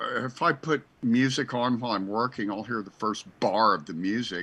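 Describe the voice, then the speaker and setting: A man's ordinary speaking voice at medium pitch and a moderate pace, with ordinary pitch variation. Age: 60s. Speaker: church founder and radio host. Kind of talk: casual chat.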